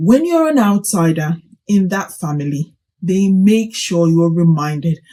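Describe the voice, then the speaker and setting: Somewhat breathy and dark, mellow in tone, the voice moves at a fairly slow pace with ordinary pitch variation. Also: woman. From Nigeria (Kaduna). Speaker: teacher and vlogger. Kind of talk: vlog commentary. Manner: animated.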